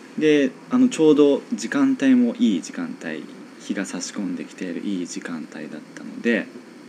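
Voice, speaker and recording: A man's voice with big swings in loudness, a moderate pace and noticeable background noise. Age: 20s. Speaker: radio show host. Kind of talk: casual interview chat. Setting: home studio in an old house.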